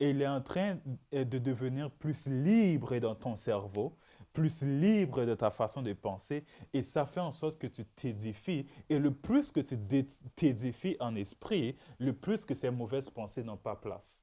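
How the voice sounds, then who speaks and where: In a Haitian accent, a man with a dark, mellow tone speaks at a very slow pace with lively intonation, captured in a very clean recording with a silent background. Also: medium pitch for a man. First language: Haitian Creole (speaking French). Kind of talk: religious teaching podcast. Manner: repetitive, emphatic.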